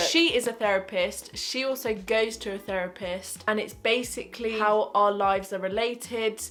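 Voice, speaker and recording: A woman speaks with a British accent at a fairly high pitch. Her tone is animated. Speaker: lifestyle vlogger. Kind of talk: casual chat. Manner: fast.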